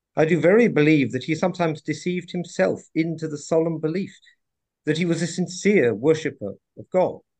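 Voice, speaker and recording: A man's fairly high voice at a moderate pace over a quiet background. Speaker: class participant. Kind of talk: reading aloud. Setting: video call.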